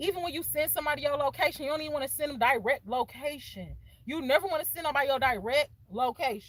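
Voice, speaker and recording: A woman with an American accent talks at a very fast pace in a high, animated voice. Her pitch varies in an ordinary way. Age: young. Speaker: content creator. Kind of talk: casual vlog talk.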